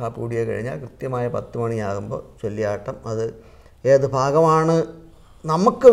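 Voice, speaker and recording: The man's loudness swings widely. His intonation is lively. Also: quiet background. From Kerala, India. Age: 60s. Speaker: Kathakali artist; interviewee. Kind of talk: interview. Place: studio. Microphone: lapel.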